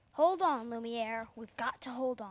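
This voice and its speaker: Putting on a character voice, a woman speaks at a moderate pace with a fairly high pitch. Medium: stage play.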